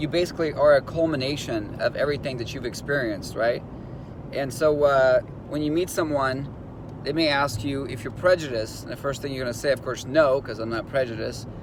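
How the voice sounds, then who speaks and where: A man with an American accent speaks at a fairly quick pace and a fairly high pitch, with ordinary pitch variation. There is noticeable background noise. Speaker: instructor coaching law enforcement job applicants. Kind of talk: motivational video talk. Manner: fast.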